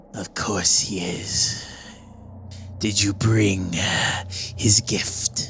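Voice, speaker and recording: Someone whispers in a put-on character voice at a very slow pace, leaving long, frequent pauses. Clear background noise is audible. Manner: whispering.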